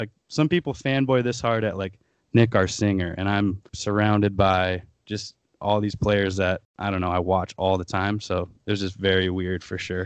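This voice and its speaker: With an American accent and an unremarkable speaking voice, a man talks at a moderate pace and a fairly low pitch, his intonation fairly even against a quiet background. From US Midwest, Aberdeen, South Dakota. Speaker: touring rock band musician. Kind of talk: podcast interview.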